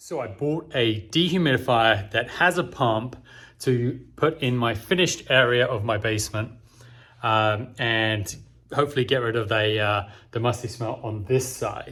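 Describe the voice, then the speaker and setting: The man's tone is bright and sharp, his pitch medium, and his pace moderate. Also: ordinary pitch variation. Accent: English. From England. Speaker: home improvement vlogger. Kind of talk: product review and unboxing. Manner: casual, with many fillers.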